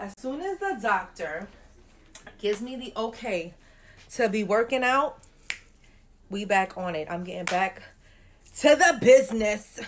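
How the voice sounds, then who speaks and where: Her intonation lively, a woman speaks at a fairly slow pace with long, frequent pauses and big swings in loudness, over light background noise. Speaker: new mother vlogger. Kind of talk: casual vlog chat. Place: home room. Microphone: phone near.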